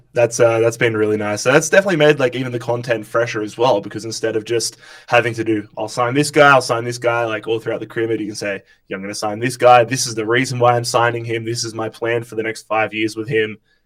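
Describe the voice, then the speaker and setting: A man with an Australian accent speaks at a very fast pace. He leaves hardly any pauses, and his intonation is fairly even. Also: medium pitch for a man. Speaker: YouTuber. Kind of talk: casual chat. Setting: live stream.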